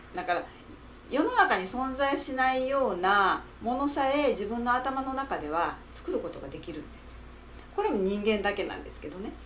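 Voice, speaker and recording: A woman at a moderate pace, with very wide pitch swings and big swings in loudness, over light background noise. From Japan, Fukuoka; Japan. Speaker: psychological counselor. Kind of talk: solo talk to camera, advice monologue. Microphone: webcam.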